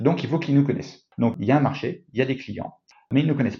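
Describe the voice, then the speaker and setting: A man's voice comes across as somewhat breathy. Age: 40s. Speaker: company co-founder. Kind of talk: interview. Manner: hesitant, with fillers and repetitions.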